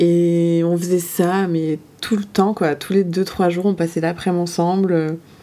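Noticeable background noise sits behind the speech. The delivery is fairly slow, with monotone, flat intonation. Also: woman, fairly low pitch for a woman. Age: 20s. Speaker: interviewee. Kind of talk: personal testimony in casual chat.

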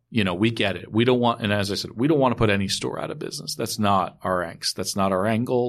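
The man has an American accent. The background is quiet. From New York, Westchester County. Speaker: wine retailer. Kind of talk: casual chat. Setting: studio.

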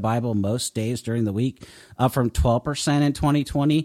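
Dry and close with no echo, the recording has a man in a normal speaking voice at a medium pitch, going at a fairly slow pace with fairly even intonation. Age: 40s. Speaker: author and ministry director. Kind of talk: interview.

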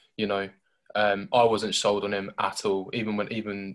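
A man with a fairly low pitch speaks in a southern English accent on a very clean recording with a silent background. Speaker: football podcast host. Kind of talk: casual chat.

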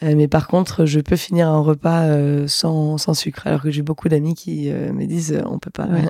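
Here a woman speaks with a very deep, low pitch and a dark, mellow tone. Her delivery is monotone and flat at a moderate pace. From Lorraine, France (Metz). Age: 20s. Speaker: association founder. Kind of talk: casual interview. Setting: at home.

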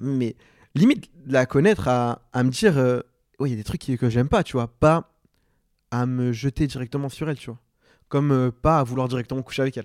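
Speaking at a medium pitch, a man keeps a fairly quick pace with ordinary pitch variation, yet takes long, frequent pauses. The sound is dry and close with no echo on a very clean recording with a silent background. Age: 20s. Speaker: podcast guest, friend of the host. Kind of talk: casual chat.

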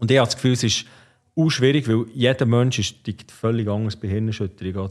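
Against a quiet background, a man uses an ordinary speaking voice at a medium pitch, with ordinary pitch variation and a fairly quick pace. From Switzerland, Bern area (Ostermundigen). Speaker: former ice hockey player and entrepreneur. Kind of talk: casual interview.

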